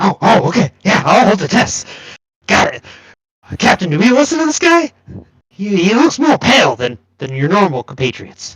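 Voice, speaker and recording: In a put-on character voice with very wide pitch swings, the speaker goes at a moderate pace with long, frequent pauses. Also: man, high pitch for a man. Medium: actual play. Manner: stammering, nervous, repeating words.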